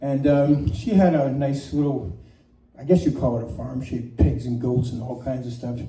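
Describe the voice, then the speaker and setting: A man at medium pitch, his loudness swinging widely, over noticeable background noise. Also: ordinary pitch variation, moderate pace. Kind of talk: casual storytelling.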